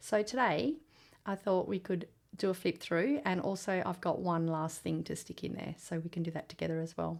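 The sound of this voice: A woman speaks in a put-on character voice at a moderate pace. Her fairly low voice is hoarse, raspy and husky.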